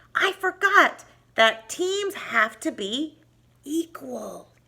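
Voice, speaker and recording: A woman puts on a squeaky character voice pitched extremely high. She speaks very slowly, her pitch swinging very widely. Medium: read story.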